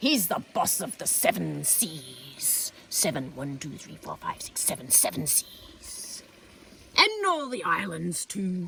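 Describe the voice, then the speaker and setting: Growling through a put-on character voice, the speaker goes at a fairly slow pace. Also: woman, medium pitch for a woman. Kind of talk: comic overacting. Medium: read story. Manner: jokey, exaggerated "arr" growls.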